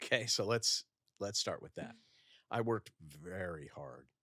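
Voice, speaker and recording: Recorded dry and close with no echo, a man with an American accent talks at a moderate pace with ordinary pitch variation and vocal fry. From US Midwest, Minnesota (suburb of Minneapolis). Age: 60s. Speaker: rabbi and author. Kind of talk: podcast interview. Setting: in-person studio.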